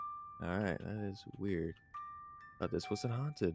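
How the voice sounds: Natural voice reading a text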